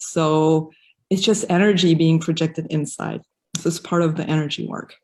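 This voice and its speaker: Speaking with a slight non-native accent, a woman uses a fairly low pitch and a dark, mellow tone at a fairly quick pace, her intonation fairly even, on a very clean recording with a silent background. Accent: slight foreign. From raised in Africa, mostly French-speaking countries; German. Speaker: yoga teacher. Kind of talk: interview. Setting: live video stream.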